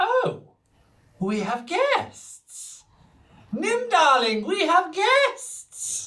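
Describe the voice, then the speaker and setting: A put-on character voice at an extremely high pitch, with very wide pitch swings. It moves at a very slow pace with long, frequent pauses. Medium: actual play. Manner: gushing, sugary, patronising.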